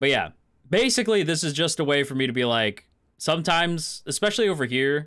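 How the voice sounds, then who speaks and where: A man's fairly high, bright and sharp voice at a very fast pace, with lively intonation and a very clean recording over a silent background. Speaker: vtuber streamer. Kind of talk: casual livestream chat.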